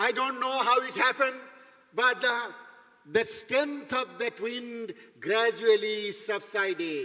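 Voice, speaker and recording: Over noticeable background noise, a man uses a raised, projected voice at an extremely high pitch, speaking at a very slow pace with ordinary pitch variation. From India, East Bengal. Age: 70s. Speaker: bishop, guest preacher. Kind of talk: sermon.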